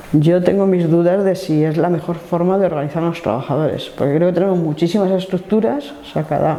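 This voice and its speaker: A woman speaks at a fairly low pitch against noticeable background noise. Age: 60s. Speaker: trade unionist. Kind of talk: life story interview. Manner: hesitant, with fillers.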